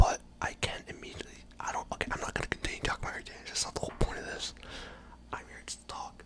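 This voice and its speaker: Whispering and soft-spoken, the speaker goes at a very fast pace over noticeable background noise. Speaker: college student, computer engineering major. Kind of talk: casual ramble to camera, ASMR. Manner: soft-spoken, whispery.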